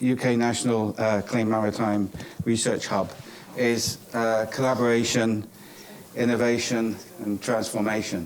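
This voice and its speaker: There is noticeable background noise and audible room echo. The speech comes at a fairly slow pace with very even loudness. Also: man. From England, Cornwall. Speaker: professor. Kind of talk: conference closing remarks. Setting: conference stage with audience. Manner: hesitant, many fillers.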